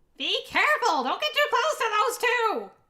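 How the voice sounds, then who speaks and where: A squeaky, extremely high put-on character voice, shouting at a moderate pace. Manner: desperate, shouting.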